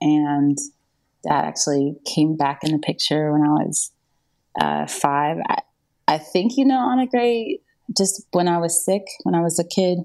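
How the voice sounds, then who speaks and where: The voice has a dark, mellow tone and lively intonation in an American accent. It moves at a fairly slow pace with long, frequent pauses. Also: woman, fairly low pitch for a woman. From US South, North Carolina. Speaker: songwriter. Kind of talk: testimony.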